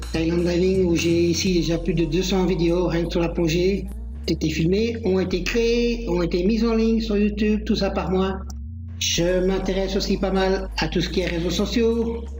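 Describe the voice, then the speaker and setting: Over music in the background, a man speaks with very even loudness and audible room echo. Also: moderate pace. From Belgium. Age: 50s. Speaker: diving instructor. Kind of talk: self-presentation with screen tour.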